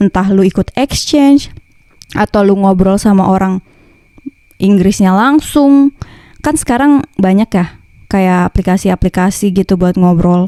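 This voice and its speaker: In a dry, close sound with no echo, a woman with a dark, mellow tone speaks at a fairly slow pace, her intonation lively and her loudness very even. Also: medium pitch for a woman. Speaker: vlogger. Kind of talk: casual vlog talk. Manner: casual slangy.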